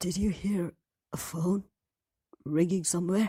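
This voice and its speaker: This female-sounding voice is a put-on character voice, raspy and at a middle pitch. The pace is fairly slow. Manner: nervous.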